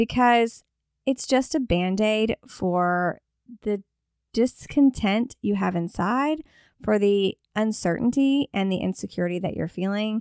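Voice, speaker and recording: A woman's ordinary speaking voice, fairly high-pitched, with ordinary pitch variation and a fairly slow pace, dry and close with no echo on a very clean recording against a silent background. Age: 40s. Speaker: podcast host, image consultant. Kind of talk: solo podcast talk.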